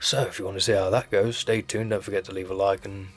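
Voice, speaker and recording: A man rattles off his words very fast while music plays behind him. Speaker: leather crafter and channel host. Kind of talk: casual tutorial vlog. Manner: casual, self-deprecating, chatty; loud.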